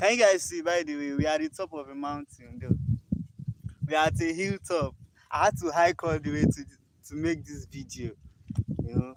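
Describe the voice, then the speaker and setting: Speaking at a fairly quick pace with a Nigerian accent, a man with a fairly high pitch uses ordinary pitch variation, long, frequent pauses and big swings in loudness. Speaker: livestreamer. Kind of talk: casual livestream chat. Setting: outdoors on a hilltop. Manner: animated.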